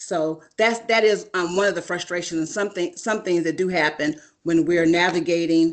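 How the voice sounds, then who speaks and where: At a moderate pace, a plain, everyday voice speaks with fairly even intonation against a quiet background. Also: woman. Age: 50s. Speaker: doctoral student panelist. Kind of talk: panel talk on video call.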